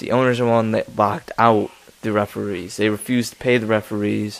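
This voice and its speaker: Over noticeable background noise, a man talks quietly at a very fast pace. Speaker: sports commentary youtuber. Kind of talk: casual rant. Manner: quiet, chill; monotone.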